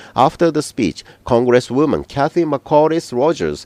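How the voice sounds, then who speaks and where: A man with a Japanese accent speaks at a moderate pace, the sound dry and close with no echo. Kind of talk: news script reading.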